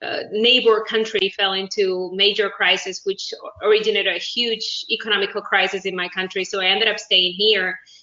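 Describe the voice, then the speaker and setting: A woman with a Spanish accent speaks at a fairly quick pace and a medium pitch, with hardly any pauses. Her intonation is monotone and flat, and there is noticeable background noise. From Uruguay. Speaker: business executive. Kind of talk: interview.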